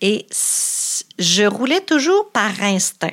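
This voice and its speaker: A woman speaks in a medium pitch with a Quebec accent. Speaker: entrepreneur. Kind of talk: interview.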